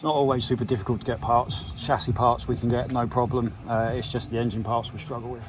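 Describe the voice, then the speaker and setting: Someone with a British accent talks at a very fast pace with hardly any pauses and fairly even intonation. Music plays in the background. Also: man, medium pitch for a man. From UK. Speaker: travel vlogger. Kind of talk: casual vlog talk.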